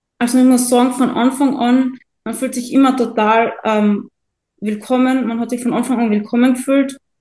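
A high-pitched woman with a dark, mellow tone, monotone and flat, at a moderate pace. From Austria, Carinthia. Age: 20s. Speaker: coaching client. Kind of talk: testimonial interview.

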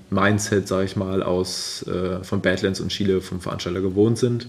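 At a moderate pace, a man talks while noticeable background noise carries on. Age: 30s. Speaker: ultra-distance cyclist. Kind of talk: casual interview. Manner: hesitant with many fillers.

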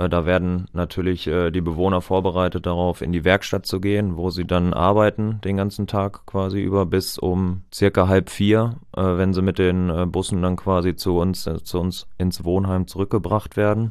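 This man has a very deep, low pitch and monotone, flat intonation. He keeps a moderate pace with hardly any pauses. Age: 20s. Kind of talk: casual chat. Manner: halting.

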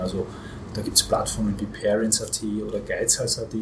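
A man's fairly quick speech competes with noticeable background noise. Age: 40s. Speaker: market research agency owner. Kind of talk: podcast interview. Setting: hotel.

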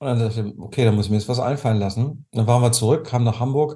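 A very fast, somewhat breathy male voice, dark and mellow in tone, with ordinary pitch variation. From Germany. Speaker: tapping therapy coach. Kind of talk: interview.

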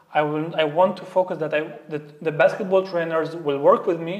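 Someone with an Arabic accent talks at a very fast pace, the intonation fairly even, over noticeable background noise. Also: man. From Syria. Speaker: basketball coach and youth mental health coach. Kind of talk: interview conversation. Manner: halting, with many repetitions.

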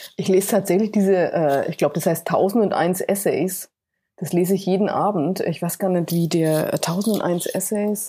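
A woman at medium pitch in a dark, mellow tone, at a moderate pace with fairly even intonation, on a very clean recording with a silent background. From Franconia, Bamberg. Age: 50s. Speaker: sustainability consultant. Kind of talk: podcast interview.

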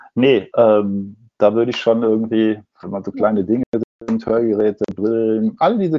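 The voice is an unremarkable speaking voice. Pitch rises and falls in an ordinary way. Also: man. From Ruhr area, Germany. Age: 60s. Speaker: advertising agency owner and designer. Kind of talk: interview.

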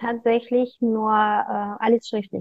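The speaker has a Russian accent and a monotone, flat intonation. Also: woman. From Kazakhstan. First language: Russian (speaking German). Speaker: fashion designer. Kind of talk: interview. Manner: halting.

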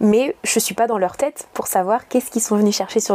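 The voice is a woman's, at a medium pitch. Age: 30s. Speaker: yoga teacher. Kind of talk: interview. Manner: animated.

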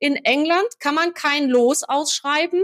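A woman's high-pitched voice comes through dry and close, with no echo. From Hesse, central (near Marburg). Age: 50s. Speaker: firefighter and fire association official. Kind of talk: interview.

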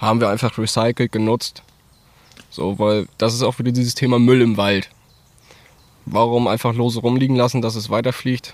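A man speaks at a medium pitch in a monotone, flat way. He keeps a moderate pace broken by long, frequent pauses. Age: 20s. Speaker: farmer and volunteer firefighter. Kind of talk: casual interview. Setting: outdoors in a forest.

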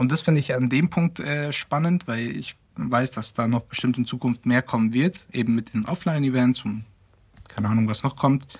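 A moderate pace with ordinary pitch variation. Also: man, medium pitch for a man. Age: 20s. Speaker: web and tech team member. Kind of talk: casual interview.

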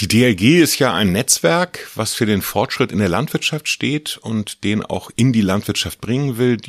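A man with an unremarkable speaking voice talks at a moderate pace with lively intonation, recorded very cleanly against a silent background in a dry, close sound with no echo. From Mecklenburg, northern Germany. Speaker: farmer and agricultural association president. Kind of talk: interview. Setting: office.

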